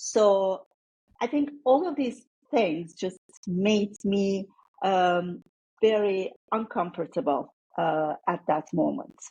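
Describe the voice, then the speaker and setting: With a Turkish accent, the speaker has a dark, mellow, somewhat breathy tone and lively intonation, moving at a very slow pace with long, frequent pauses. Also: woman, medium pitch for a woman. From Turkey. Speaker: former tech executive. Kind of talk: interview conversation.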